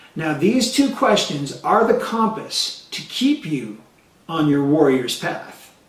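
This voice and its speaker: Over noticeable background noise and audible room echo, a man speaks at a very slow pace in a high voice with very wide pitch swings. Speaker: motivational coach. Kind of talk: motivational talk to camera. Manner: animated.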